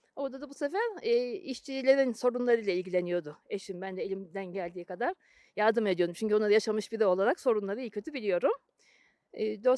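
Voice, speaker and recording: Very fast and fairly high-pitched, a woman's voice carries a dark, mellow tone and lively intonation in a dry, close sound with no echo. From Turkey, youth partly in Germany. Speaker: former German translator. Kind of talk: interview.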